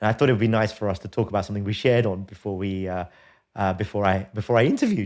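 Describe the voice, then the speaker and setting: On a very clean recording with a silent background, a man with a British accent speaks very fast at a fairly low pitch with fairly even intonation. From England. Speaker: podcast host. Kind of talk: casual chat. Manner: halting, many repeated words.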